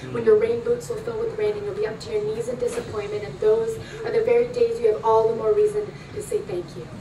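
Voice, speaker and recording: Her loudness swinging widely, a woman talks at a very fast pace with noticeable background noise. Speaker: spoken word poet. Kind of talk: spoken word poetry performance. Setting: live performance at a club.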